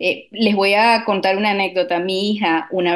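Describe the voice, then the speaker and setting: Monotone, flat intonation pairs with a fairly slow delivery. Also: woman. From Latin America. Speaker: radio producer. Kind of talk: radio talk show.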